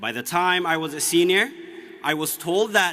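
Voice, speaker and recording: A man with a high pitch talks at a moderate pace against noticeable background noise. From Ethiopia, Oromia region. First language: Oromo. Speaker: student commencement speaker. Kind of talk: commencement speech. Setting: graduation ceremony with audience.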